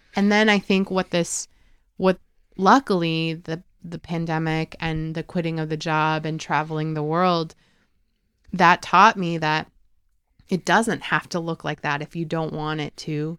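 A woman's plain, everyday voice, fairly low in pitch, at a fairly slow pace with fairly even intonation, on a very clean, dry, close recording with no echo and a silent background. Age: 30s. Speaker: travel podcast co-host. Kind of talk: casual chat.

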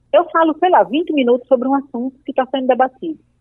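A woman speaks in a high pitch at a very fast pace. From Paraíba, Brazil (Northeast). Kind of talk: interview.

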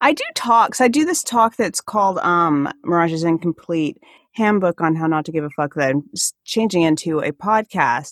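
A woman with a slight Alaskan accent speaks in an animated tone at a fairly low pitch, the sound dry and close with no echo. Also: lively intonation, moderate pace. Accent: slight Alaskan, Canadian-like. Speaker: comedian and activist. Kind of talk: casual interview chat. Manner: animated, laughing often.

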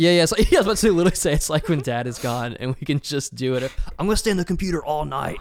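Rattling along at a very fast pace, a man with an American accent uses lively intonation at a fairly high pitch. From US South. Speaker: film podcast co-host. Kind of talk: casual chat.

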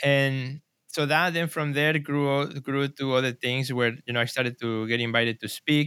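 With a Spanish accent, a man speaks in a bright, sharp tone at a fairly high pitch and moderate pace with hardly any pauses, in a very clean recording with a silent background. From Mexico City, Mexico. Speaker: artist and gallery director. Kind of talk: interview.

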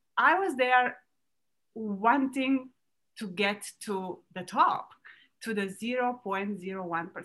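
A woman with a Romanian accent and a fairly high pitch, speaking at a very slow pace with lively intonation and long, frequent pauses. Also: big swings in loudness. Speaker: entrepreneur. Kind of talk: interview. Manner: halting.

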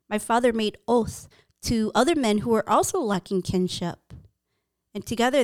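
With an American accent, a woman in an ordinary speaking voice talks at a moderate pace and a fairly high pitch with ordinary pitch variation, in a very clean recording with a silent background and a dry, close sound with no echo. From US, Hmong American family. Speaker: podcast co-host and interviewer. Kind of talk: reflective interview. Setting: studio.

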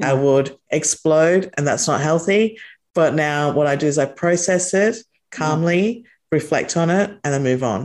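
Speaking at a moderate pace with an Australian accent, a woman has a very deep, low pitch and keeps her loudness very even. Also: ordinary pitch variation. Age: 40s. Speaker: entrepreneur and company founder. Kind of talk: interview conversation.

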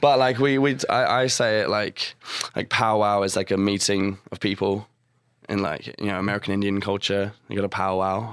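Fairly even intonation and a moderate pace come through in a New Zealand accent. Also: man, fairly low pitch for a man. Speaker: singer and guitarist. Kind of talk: casual interview chat. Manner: halting, many fillers.

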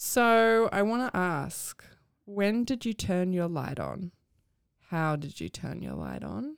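Recorded very cleanly against a silent background, a woman talks at a fairly slow pace with lively intonation in a New Zealand accent. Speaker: podcast host. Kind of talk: interview.

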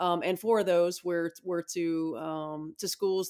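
Spoken with a Midwestern American accent, this is a very clean recording against a silent background. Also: woman. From Indiana, US Midwest. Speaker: basketball head coach. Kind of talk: interview.

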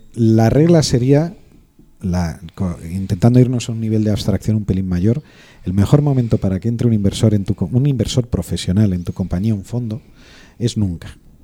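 The tone is dark and mellow. The pace is moderate. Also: man, fairly low pitch for a man, ordinary pitch variation. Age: 40s. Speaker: lawyer advising startups and investors. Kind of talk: casual chat.

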